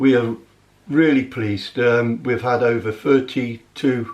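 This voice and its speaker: A man speaks with a Midlands accent. His pace is fairly slow. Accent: Midlands country. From English Midlands. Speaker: motorhome vlogger. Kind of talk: casual vlog talk. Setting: home kitchen.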